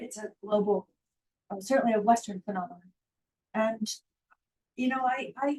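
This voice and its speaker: A woman with an American accent talks at a fairly quick pace, somewhat breathy and medium in pitch. Her intonation is fairly even, in a dry, close sound with no echo. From United States. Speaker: academic panelist. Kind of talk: panel discussion.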